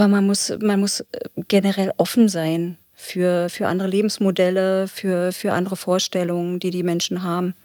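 In a very clean recording with a silent background, a woman speaks at a fairly slow pace with a dark, mellow tone and medium pitch. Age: 50s. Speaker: probation officer. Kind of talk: interview.

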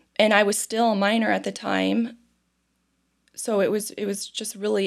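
A woman speaks with a Midwestern American accent on a very clean recording with a silent background. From Ohio, US Midwest (Toledo). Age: 30s. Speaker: foster care advocate. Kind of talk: interview testimony. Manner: halting, repeats words.

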